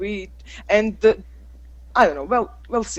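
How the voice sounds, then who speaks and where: This woman speaks with a Croatian accent. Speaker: English teacher. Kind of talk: casual group chat. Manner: halting.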